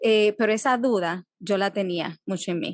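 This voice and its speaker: A woman with a Dominican accent speaks with ordinary pitch variation in a dry, close sound with no echo. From Dominican Republic. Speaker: psychologist. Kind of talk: interview. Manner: halting.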